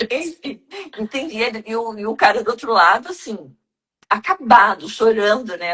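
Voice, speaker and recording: A woman's ordinary speaking voice, fairly high-pitched, at a fairly slow pace. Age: 60s. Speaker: self-development mentor. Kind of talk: casual chat.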